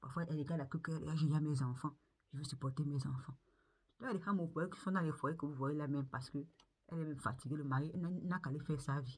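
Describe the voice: Fast speech from a woman with a low pitch, a slightly mellow tone, a slightly husky edge and ordinary pitch variation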